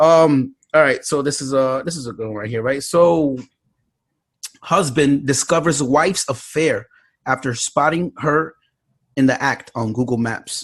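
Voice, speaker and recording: Speaking with a New York accent, a man moves at a fairly slow pace, his fairly high pitch showing ordinary variation. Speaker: podcast host. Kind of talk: casual chat.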